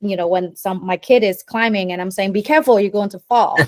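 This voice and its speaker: In a Vietnamese accent, a woman speaks at medium pitch. The sound is dry and close with no echo, on a very clean recording with a silent background. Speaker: performance coach. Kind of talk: interview. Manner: halting, many fillers.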